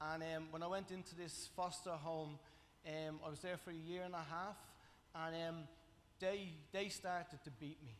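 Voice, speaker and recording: With a Dublin accent, a man speaks at a high pitch and moderate pace, his intonation fairly even, with long, frequent pauses. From Ireland, Dublin (Coolock). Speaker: testimony speaker at church. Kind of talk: testimony. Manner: halting, many fillers.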